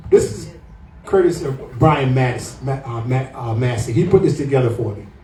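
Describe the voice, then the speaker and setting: A man talks at a moderate pace. The room echo is audible, and there is noticeable background noise. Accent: American. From US South, Atlanta, Georgia. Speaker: property tax activist, podcast co-host. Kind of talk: public talk to a meeting. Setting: pub meeting room with audience.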